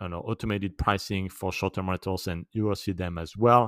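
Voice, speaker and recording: In a very clean recording with a silent background, a man with a French accent speaks at a very deep, low pitch in a monotone, flat intonation, the sound dry and close with no echo. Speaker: short-term rental expert / podcast host. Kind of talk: tutorial / advice monologue.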